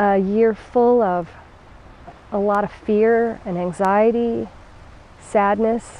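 A woman's soothing, calm voice at a very slow pace, fairly even in intonation, dry with no echo, over light background noise. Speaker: yoga instructor. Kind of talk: guided meditation; guided chair yoga class. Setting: home video, instructor demonstrating from a chair. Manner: slow, soothing and calm, with gentle pauses; warm, encouraging and reassuring. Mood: calm, soothing. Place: garden.

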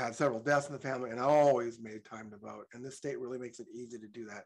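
A man at a fairly quick pace, fairly even intonation, against a quiet background. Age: 60s. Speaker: public commenter. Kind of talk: public comment. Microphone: video call.

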